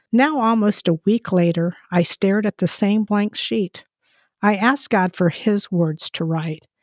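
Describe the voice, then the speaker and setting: Fairly slow delivery with ordinary pitch variation, a dry, close sound with no echo, and a very clean recording with a silent background. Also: woman, medium pitch for a woman. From Portuguese-speaking country, moved to US as child. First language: Portuguese. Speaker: author and ministry co-host. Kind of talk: reading aloud.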